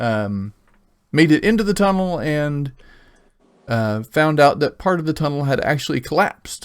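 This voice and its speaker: Using long, frequent pauses, a man with an American accent speaks at a fairly high pitch with lively intonation, on a very clean recording with a silent background. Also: moderate pace. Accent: slight Oklahoma accent, rarely used. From Oklahoma. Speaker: game master. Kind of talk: tabletop roleplay session. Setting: live stream.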